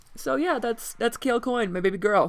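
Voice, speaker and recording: A woman with vocal fry speaks with ordinary pitch variation. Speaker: tabletop role-player and artist. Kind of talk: casual talk to camera. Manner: fast.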